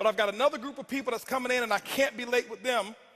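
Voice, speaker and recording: Shouting in a raised, projected voice, a man hits an extremely high pitch with a bright, sharp tone and ordinary pitch variation. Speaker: motivational speaker. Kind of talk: motivational speech. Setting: stage with audience. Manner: loud, yelling; intense, animated.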